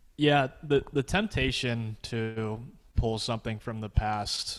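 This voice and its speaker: In a very clean recording with a silent background, a man with an unremarkable speaking voice talks at medium pitch and a fairly slow pace with fairly even intonation. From Pittsburgh area, US. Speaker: graphic designer. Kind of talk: casual interview.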